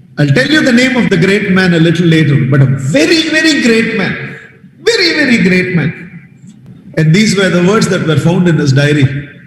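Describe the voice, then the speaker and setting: A man talks at a fairly quick pace in a high voice with very wide pitch swings and very even loudness, over noticeable background noise and audible room echo. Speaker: spiritual teacher. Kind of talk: spiritual guidance talk.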